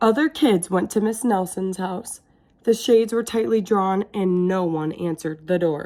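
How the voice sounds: The speaker uses a natural reading voice. The pitch moves with ordinary variation.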